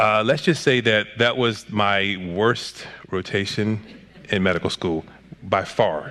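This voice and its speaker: A man talks in a fairly low register, his pitch shifting in an ordinary way. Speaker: psychiatrist and author. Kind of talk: interview conversation. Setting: church talk series. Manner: fast.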